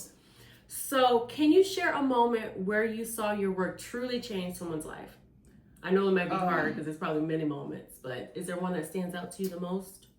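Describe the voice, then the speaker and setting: Over noticeable background noise, a woman with an upbeat tone speaks fairly quickly at a medium pitch, her intonation lively and her loudness swinging widely. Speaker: podcast host. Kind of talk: podcast interview host.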